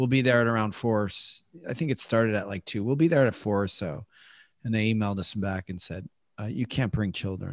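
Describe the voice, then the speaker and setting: With an American accent and an ordinary speaking voice, a man at medium pitch talks at a fairly quick pace with ordinary pitch variation, recorded dry and close with no echo against a very clean, silent background. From Chicago. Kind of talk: interview.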